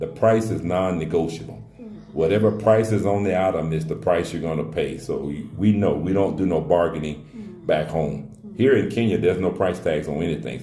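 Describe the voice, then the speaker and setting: This man has a very deep, low voice and an American accent. He talks at a moderate pace, and the room echo is audible. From US. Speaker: relocation adviser. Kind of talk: casual Q&A talk. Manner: conversational, with frequent fillers.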